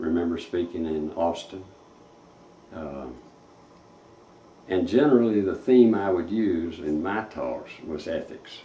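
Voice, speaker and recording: With a Texan accent, a man speaks fairly slowly at a very deep, low pitch, his tone dark, mellow and somewhat breathy, with audible room echo. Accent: Texan Southern US. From East Texas (Tyler). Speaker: retired civil engineer. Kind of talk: interview reminiscence. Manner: halting.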